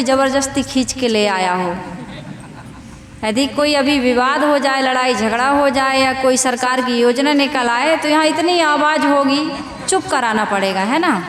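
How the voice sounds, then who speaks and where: A woman speaks with a high pitch and lively intonation. Noticeable background noise is present. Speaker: spiritual preacher. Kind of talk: religious sermon to a live audience. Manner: simple, heartfelt.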